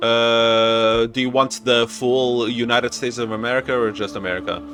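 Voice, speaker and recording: Music plays in the background as a man with a Portuguese accent talks at a moderate pace. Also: medium pitch for a man, fairly even intonation. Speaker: gaming YouTuber. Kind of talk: reading a visual novel aloud; casual chat.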